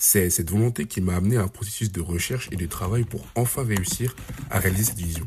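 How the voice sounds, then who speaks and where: A man, fairly low in pitch and somewhat breathy, at a fairly quick pace with ordinary pitch variation. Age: 20s. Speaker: podcast host. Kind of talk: scripted narration. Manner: formal.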